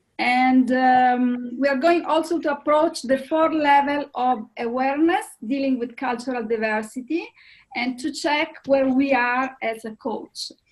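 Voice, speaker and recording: Speaking fairly slowly with an Italian accent, a woman uses a high pitch and ordinary pitch variation. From Italy. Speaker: coach and panelist. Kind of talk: webinar presentation.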